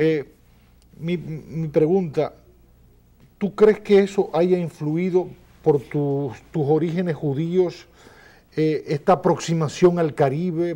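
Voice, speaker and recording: A man speaks at a very slow pace with long, frequent pauses and a fairly high pitch. His tone is dark and mellow, with fairly even intonation. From Dominican Republic. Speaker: talk show host. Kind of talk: interview. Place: studio. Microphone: lapel.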